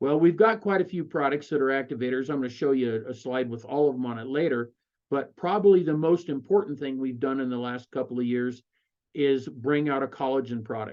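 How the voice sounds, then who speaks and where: A man with an American accent talks at a fairly quick pace in a normal speaking voice, with medium pitch and ordinary pitch variation. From Colorado. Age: 60s. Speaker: network marketing presenter. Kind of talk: sales pitch. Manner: conversational with fillers.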